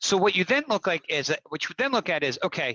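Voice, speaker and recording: Someone speaks at a fairly quick pace with a Baltimore accent. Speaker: transportation technology industry panelist. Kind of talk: virtual panel discussion. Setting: video call. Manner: halting, many repetitions and restarts.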